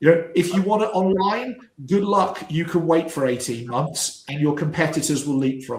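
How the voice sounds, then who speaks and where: A man's high-pitched voice with audible room echo. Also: ordinary pitch variation, moderate pace. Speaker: business coach. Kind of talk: live stream panel discussion. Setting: live stream. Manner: halting, repeats words.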